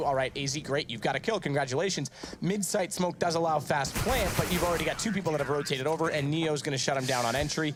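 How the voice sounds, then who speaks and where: Against noticeable background noise, a man talks very fast in an animated tone, his pitch fairly high with ordinary variation. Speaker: esports commentator. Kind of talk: live commentary. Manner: loud.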